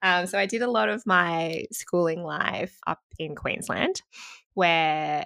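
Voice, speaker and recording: A woman's bright, sharp voice with an Australian accent, fairly slow, in a dry, close sound with no echo. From Australia (Sydney, Gold Coast). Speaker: nonprofit founder, advertising account director. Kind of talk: interview conversation. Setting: remote call.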